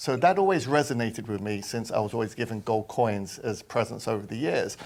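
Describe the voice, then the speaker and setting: With a London accent, a man talks at a fairly quick pace with ordinary pitch variation, recorded very cleanly against a silent background. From London, England. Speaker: precious metals company executive. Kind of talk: interview.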